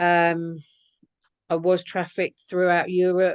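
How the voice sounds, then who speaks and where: The woman's pitch sits fairly low, and she has an English accent. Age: 50s. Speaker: abuse survivor. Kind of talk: testimony interview answer.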